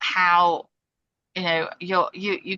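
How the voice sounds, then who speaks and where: A woman with a British accent speaks at a medium pitch with fairly even intonation, in a dry, close sound with no echo. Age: 60s. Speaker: podcast guest, strategy and startup professional. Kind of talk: casual interview conversation. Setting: parked in a car on a side street, remote call.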